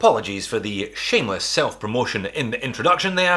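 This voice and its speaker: A man at a fairly quick pace with a Scottish accent. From Scotland. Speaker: watch reviewer, YouTuber. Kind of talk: product review.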